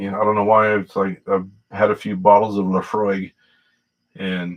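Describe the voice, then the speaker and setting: A man at a moderate pace, his intonation fairly even. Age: 60s. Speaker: whiskey livestreamer. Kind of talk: casual livestream chat. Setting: livestream on laptop camera. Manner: halting, many fillers.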